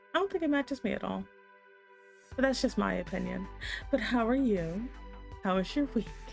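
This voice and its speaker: With music in the background, a soft-spoken, breathy woman talks at a moderate pace. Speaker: streamer.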